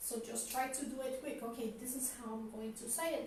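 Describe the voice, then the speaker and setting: A woman speaks fairly quickly in a high pitch with fairly even intonation and a non-native accent. Noticeable background noise and audible room echo surround her. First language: not English. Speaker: spiritual teacher. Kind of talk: lecture. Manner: halting.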